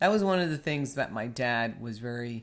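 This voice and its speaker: Speaking at a moderate pace in a New York accent, a man is heard on a very clean recording with a silent background. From New York, US. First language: Spanish. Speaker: podcast co-host. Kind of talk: casual chat.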